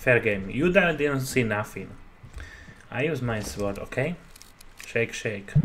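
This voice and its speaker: Someone with a Slovak accent speaks at a very slow pace, using lively intonation and long, frequent pauses. Noticeable background noise runs underneath. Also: man, medium pitch for a man. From Slovakia. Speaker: gamer YouTuber. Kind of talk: gameplay commentary. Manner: casual, profane, halting English. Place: home room.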